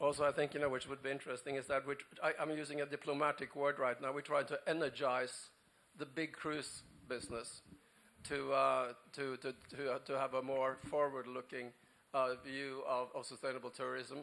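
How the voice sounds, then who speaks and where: A man with a Norwegian accent speaks at a moderate pace with a fairly high pitch. His tone is bright and sharp, and his intonation is monotone and flat. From Norway. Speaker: panelist. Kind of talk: panel discussion. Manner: halting.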